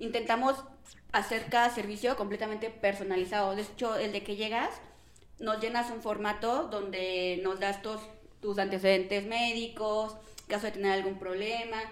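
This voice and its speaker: Amid noticeable background noise and audible room echo, a woman with a fairly high pitch talks at a moderate pace in a monotone, flat intonation. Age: 20s. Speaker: business owner. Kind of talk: casual chat.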